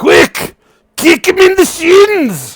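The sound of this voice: A man performs a put-on character voice at an extremely high pitch.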